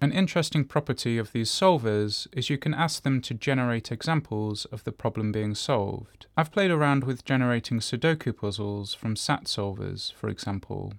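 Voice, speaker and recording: Over a very clean recording with a silent background, a man talks in a plain, everyday voice at medium pitch, with ordinary pitch variation and a moderate pace. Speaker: solo podcaster, computer science researcher attending a conference. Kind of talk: audio diary.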